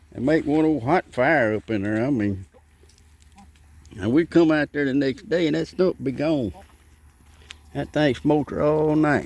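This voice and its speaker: Lively intonation and a fairly slow pace in a Southern US accent, with long, frequent pauses. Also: man, fairly high pitch for a man. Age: 70s. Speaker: gardening vlogger. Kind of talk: casual vlog talk.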